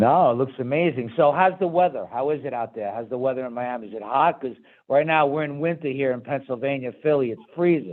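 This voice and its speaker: Fairly quick and with hardly any pauses, a man with a Brooklyn accent speaks at a medium pitch with ordinary pitch variation. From New York, Brooklyn. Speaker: talk show host. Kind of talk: interview.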